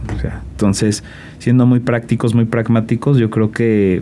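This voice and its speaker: A man's voice against noticeable background noise. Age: 20s. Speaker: political scientist and youth civic leader. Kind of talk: interview.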